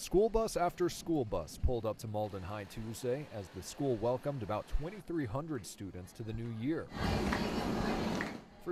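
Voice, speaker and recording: Over noticeable background noise, a man speaks at a moderate pace with very wide pitch swings. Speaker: TV news anchor and reporter. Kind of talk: TV news report.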